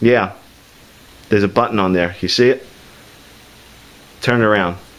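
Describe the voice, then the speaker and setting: Here is a man with an unremarkable speaking voice and fairly low pitch. His intonation stays fairly even at a moderate pace. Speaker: YouTube tech reviewer. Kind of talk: casual joking talk while filming.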